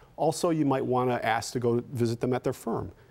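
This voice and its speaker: Ordinary pitch variation marks this man's delivery. He moves along at a fairly quick pace. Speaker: guest. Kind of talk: interview answer. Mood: calm, persuasive, promotional. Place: studio.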